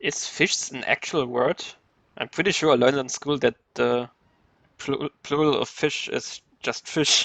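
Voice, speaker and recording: Speech with a German accent comes at a fairly slow pace in a bright, sharp tone, with fairly even intonation and a dry, close sound with no echo. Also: man, fairly high pitch for a man. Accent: German accent, noticeable. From Germany. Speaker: video game streamer. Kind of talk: live gameplay commentary. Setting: live stream.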